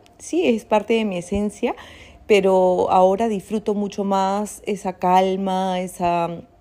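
Very clean and silent in the background, the recording holds a woman's dark, mellow, medium-pitched voice, delivered monotone and flat at a very slow pace. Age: 30s. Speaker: life coach and podcaster. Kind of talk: reflective solo monologue. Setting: at home, seated comfortably. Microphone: not using her usual pro microphone.

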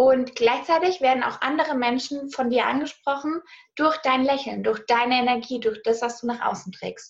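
Speaking at a moderate speed, a woman uses a high pitch. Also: ordinary pitch variation. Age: 20s. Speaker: money mindset and business coach. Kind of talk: casual interview. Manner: animated.

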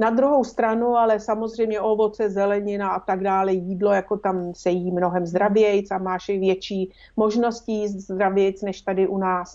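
With fairly even intonation and a medium pitch, a woman speaks at a fairly slow pace in a normal speaking voice. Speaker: former film interpreter. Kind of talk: casual chat.

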